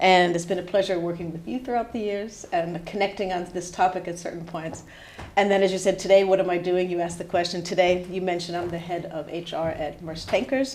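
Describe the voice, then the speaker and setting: Over noticeable background noise and audible room echo, a woman with an American accent talks at a fairly quick pace in a fairly low pitch with fairly even intonation. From US, New Hampshire. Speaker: head of HR. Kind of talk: podcast interview.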